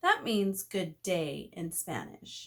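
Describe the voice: A woman speaks at a medium pitch, her voice making big pitch swings.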